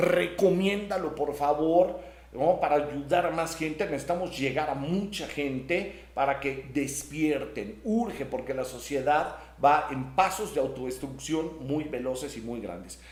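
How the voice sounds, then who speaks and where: A man speaks fairly slowly at a fairly high pitch with ordinary pitch variation. Audible room echo and noticeable background noise fill the recording. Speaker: spiritual teacher and channel host. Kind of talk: live stream chat reading comments.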